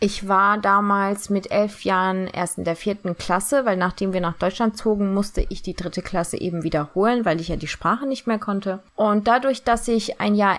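The recording is very clean, its background silent. A woman talks at a moderate pace. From Germany, partly raised in Turkey. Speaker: podcaster sharing eating disorder experience. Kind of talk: personal monologue.

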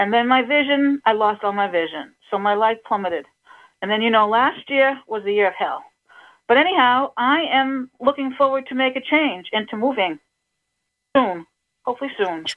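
Lively in intonation and high in pitch, a woman with an American accent talks at a moderate pace. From Cape Cod, Massachusetts. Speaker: caller with vision loss. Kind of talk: casual chat. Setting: video call.

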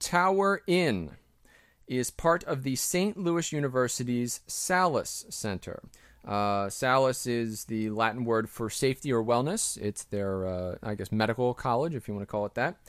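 Speaking in an unremarkable speaking voice, a man at a medium pitch talks fairly slowly with lively intonation on a very clean recording with a silent background. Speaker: podcast co-host. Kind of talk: casual banter podcast.

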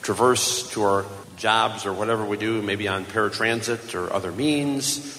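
A man at a medium pitch with ordinary pitch variation and a fairly slow pace, over noticeable background noise. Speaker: convention official introducing speaker. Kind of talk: stage introduction. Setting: stage with audience.

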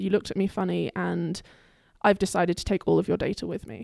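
A woman speaking very fast with a British accent, in a dry, close sound with no echo. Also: very clean recording, silent background. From England. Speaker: graduate student. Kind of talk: casual chat, storytelling.

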